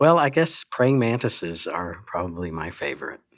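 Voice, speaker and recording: A man's ordinary speaking voice at a medium pitch and a moderate pace. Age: 60s. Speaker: entomology professor. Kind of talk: interview.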